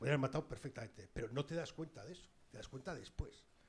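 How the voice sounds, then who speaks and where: There is vocal fry in this man's medium-pitched voice. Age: 60s. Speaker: journalist, former war correspondent. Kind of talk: public talk with audience.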